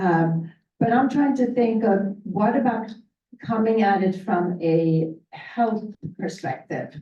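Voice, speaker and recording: Somewhat breathy and dark, mellow in tone, a woman's voice carries audible room echo. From Sweden. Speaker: county legislator. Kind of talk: panel discussion.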